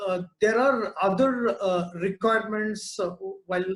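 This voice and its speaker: In an Indian accent, a man talks at a fairly slow pace with ordinary pitch variation. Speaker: business incubator director. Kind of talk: webinar talk. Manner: hesitant, many fillers.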